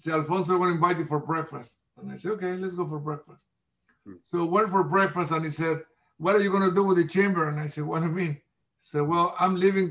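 A man with a Mexican accent, high-pitched, at a very fast pace, with fairly even intonation and big swings in loudness. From Mexico. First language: Spanish. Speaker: nonprofit chamber president. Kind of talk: interview. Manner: halting, hesitant, repeats words.

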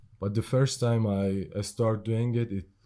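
A man's fairly low, dark, mellow voice, fairly even in intonation, at a fairly slow pace. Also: very clean recording, silent background. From Iran. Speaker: artist and drummer. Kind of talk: casual chat. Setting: in-person recording on camera with mics. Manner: slow talker.

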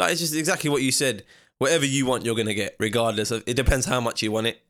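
A man in a London accent talks at a very fast pace with ordinary pitch variation on a very clean recording with a silent background. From East London, England. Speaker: professional boxer. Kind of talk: casual chat.

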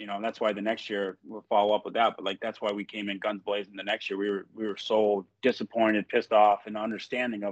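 At a fairly quick pace, a man with an American accent speaks in a fairly low pitch. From US Northeast (upstate New York). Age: 30s. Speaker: former pro hockey player. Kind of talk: casual chat.

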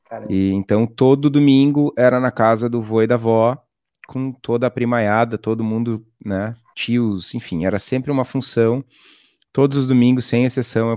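On a very clean recording with a silent background and a dry, close sound with no echo, a man speaks at medium pitch in a dark, mellow tone with fairly even intonation. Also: moderate pace. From Rio Grande do Sul, Brazil (coastal town, Torres). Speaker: craft brewer. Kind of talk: interview.

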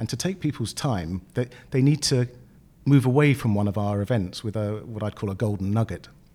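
A man's dark, mellow voice with a British accent, medium pitch, ordinary pitch variation and a fairly quick pace, on a very clean recording with a silent background. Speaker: business group chairman. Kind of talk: interview.

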